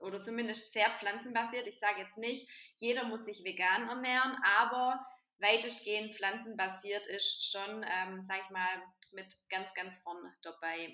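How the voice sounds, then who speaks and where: A bright, sharp tone comes at a fairly slow pace with fairly even intonation, big swings in loudness, and audible room echo. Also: woman, medium pitch for a woman. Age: 20s. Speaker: vegan nutrition advisor. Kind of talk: casual chat.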